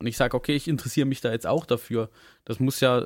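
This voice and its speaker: Recorded very cleanly against a silent background, a man speaks at a very fast pace with a dry, close sound and no echo. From southern Germany. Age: young. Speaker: podcast co-host. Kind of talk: casual chat.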